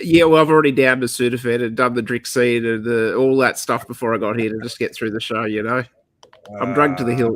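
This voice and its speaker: A man with an Australian accent talks at a very fast pace, his medium pitch carried by fairly even intonation. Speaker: cigar review show co-host. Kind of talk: casual chat.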